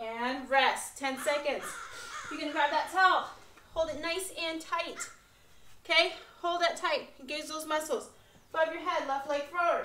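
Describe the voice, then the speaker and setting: The voice is raised and projected, bright and sharp in tone, with ordinary pitch variation, a fairly slow pace and audible room echo. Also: woman. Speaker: fitness instructor. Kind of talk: workout instruction. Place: garage. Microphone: camera far.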